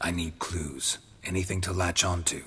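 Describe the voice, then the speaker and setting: A man puts on a growling character voice with a very deep, low pitch, talking at a moderate pace over clear background noise. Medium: video game. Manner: terse, flat, clipped.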